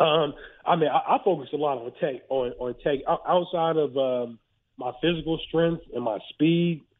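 Here is a man with a fairly high pitch and a normal speaking voice. He talks at a moderate pace in an American accent, with ordinary pitch variation. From Western Pennsylvania, Ohio border. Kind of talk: casual interview.

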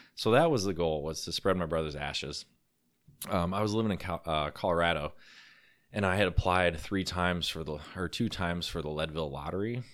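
Speaking at a fairly quick pace, a man with a very deep, low pitch shows ordinary pitch variation in a very clean recording with a silent background. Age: 30s. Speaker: endurance cyclist. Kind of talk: interview.

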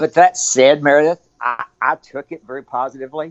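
Ordinary pitch variation comes through in this voice with a Texan accent. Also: man. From Texas, Abilene. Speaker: ultrarunner and running store owner. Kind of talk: interview conversation.

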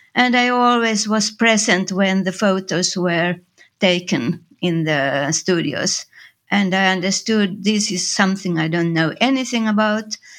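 Against a silent background in a very clean recording, a woman speaks fairly slowly at a medium pitch with a Finnish accent. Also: ordinary pitch variation. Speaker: designer and photographer. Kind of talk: interview. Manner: halting.

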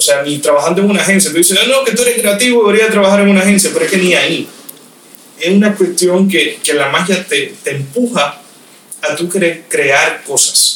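High-pitched male voice at a fairly quick pace with ordinary pitch variation, noticeable background noise behind it. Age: 20s. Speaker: magician. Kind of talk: casual interview. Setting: host's office.

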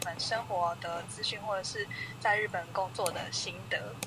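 Noticeable background noise accompanies a woman whose medium-pitched voice has lively intonation. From Taiwan. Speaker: YouTuber and Japanese teacher. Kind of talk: casual interview. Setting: remote call.

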